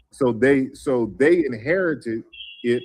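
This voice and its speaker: A man speaks with an American accent at a fairly high pitch. His pitch varies in an ordinary way, with noticeable background noise. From US South, New Orleans. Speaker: guest speaker on African languages. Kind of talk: online panel discussion. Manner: halting, many fillers.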